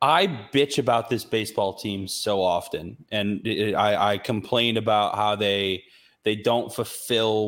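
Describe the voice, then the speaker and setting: A man with an American accent and an unremarkable speaking voice talks at a fairly low pitch and fairly slow pace with fairly even intonation, in a very clean recording with a silent background. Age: 30s. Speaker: sports podcast host and radio producer. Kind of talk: casual chat.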